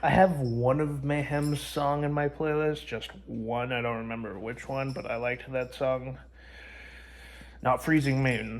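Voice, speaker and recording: A man talks at a medium pitch with fairly even intonation. His pace is fairly slow. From Canada. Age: 20s. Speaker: music vlogger. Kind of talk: casual vlog monologue. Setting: at grandma's house. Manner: halting, many fillers; kept down, quiet.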